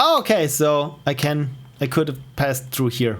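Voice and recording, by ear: Speaking at a fairly slow pace, a man with an Austrian accent has a medium pitch and a fairly bright tone.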